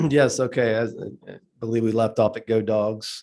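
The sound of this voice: Audible room echo surrounds a man's fairly low, slightly mellow voice, which carries vocal fry and fairly even intonation at a fairly slow pace.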